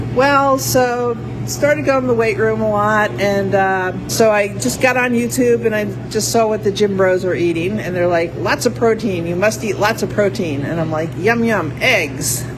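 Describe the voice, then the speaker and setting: Over noticeable background noise and audible room echo, a woman with a fairly low pitch speaks at a moderate pace, her pitch swinging very widely. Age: 60s. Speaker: powerlifter and former rugby player. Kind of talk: interview.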